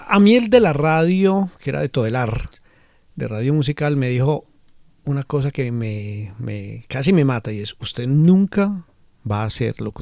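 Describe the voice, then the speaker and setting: In a very clean recording with a silent background, a man speaks at a fairly slow pace with very wide pitch swings. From Medellín, Colombia. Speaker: cultural manager. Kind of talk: interview.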